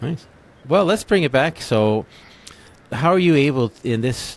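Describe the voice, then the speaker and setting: A man with a Canadian accent speaks at a moderate pace in a normal speaking voice. His pitch varies in an ordinary way. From English Canada. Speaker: podcast host. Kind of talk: interview conversation.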